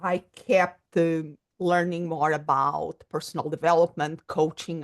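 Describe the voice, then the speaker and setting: In a Portuguese accent, a woman with a fairly low pitch speaks at a fairly slow pace with ordinary pitch variation, the sound dry and close with no echo against a quiet background. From Portugal. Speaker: psychologist and coach. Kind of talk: podcast interview.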